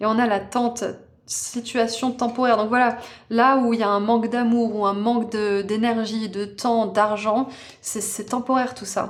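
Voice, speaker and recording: A woman speaks at a fairly slow pace with a fairly high pitch. Her intonation is monotone and flat, and the room echo is audible. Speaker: tarot reader. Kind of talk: tarot card reading. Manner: casual, hesitant with fillers.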